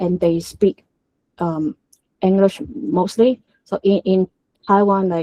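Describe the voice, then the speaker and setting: In a Hong Kong accent, a woman with a dark, mellow tone and medium pitch speaks at a very slow pace, using ordinary pitch variation and long, frequent pauses, in a dry, close sound with no echo. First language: Cantonese. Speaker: tech conference speaker. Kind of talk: technical talk. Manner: halting, many fillers.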